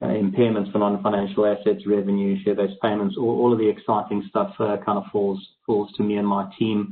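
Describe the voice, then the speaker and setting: A man with a South African accent, fairly low in pitch, at a fairly quick pace with hardly any pauses, monotone, flat intonation and very even loudness. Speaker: accounting firm partner. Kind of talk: webinar panel discussion.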